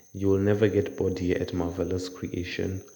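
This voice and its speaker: A man's fairly low voice at a moderate pace. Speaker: drawing tutor. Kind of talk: casual talk to camera. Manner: casual, conversational.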